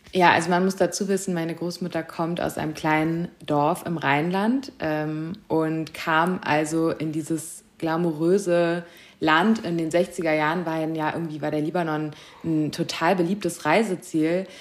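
A woman speaks in a plain, everyday voice, her pitch fairly low. Her pace is fairly slow and her intonation fairly even. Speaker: fashion journalist. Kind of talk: interview.

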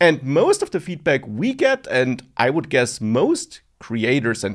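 Speaking with a non-native accent, a man moves at a fairly slow pace through very wide pitch swings on a very clean recording with a silent background. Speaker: online course creator and podcast co-host. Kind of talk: casual chat.

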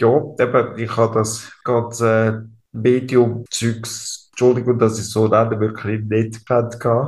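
With a Swiss accent, a man speaks at a medium pitch and a fairly slow pace, his intonation monotone and flat and his voice somewhat breathy. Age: 30s. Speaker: ALS patient. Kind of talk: interview. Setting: hospital room.

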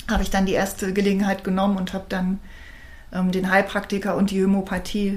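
A woman speaks in a room with audible echo. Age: 50s. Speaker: alternative practitioner. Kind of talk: interview. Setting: in person studio recording.

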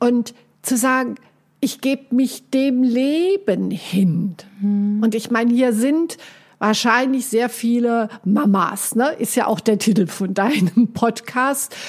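A woman at a fairly high pitch and a very slow pace, with ordinary pitch variation and very even loudness. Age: 60s. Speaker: life coach. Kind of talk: casual chat.

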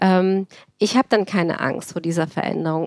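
A woman with an unremarkable speaking voice, medium pitch and fairly even intonation is recorded very cleanly over a silent background, with a dry, close sound and no echo. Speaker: cardiologist and start-up founder. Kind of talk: interview.

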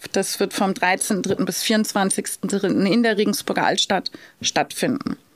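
The voice moves at a very slow pace with very even loudness, the sound dry and close with no echo. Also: woman, medium pitch for a woman, ordinary pitch variation. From Lower Bavaria, Germany (Straubing). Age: 40s. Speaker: hotel director and city blogger. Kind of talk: interview. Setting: recording venue.

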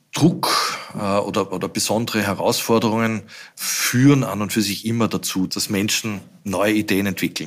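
This man has a plain, everyday voice, pitched fairly low, moving at a moderate pace with ordinary pitch variation. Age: 60s. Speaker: company CEO. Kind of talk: interview.

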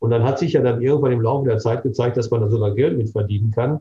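This man's voice sits at a medium pitch and is somewhat breathy. His intonation is monotone and flat. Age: 60s. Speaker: dermatologist and cosmetic surgeon. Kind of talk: interview.

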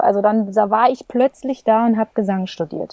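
Fairly high female voice, calm in tone, fairly quick, with ordinary pitch variation. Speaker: singer and voice teacher. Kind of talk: interview conversation. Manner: calm, pleasant manner.

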